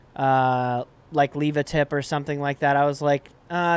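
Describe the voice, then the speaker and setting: Someone with an American accent speaks in a very clean recording with a silent background. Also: man. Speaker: podcast co-host. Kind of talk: casual chat. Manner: loud.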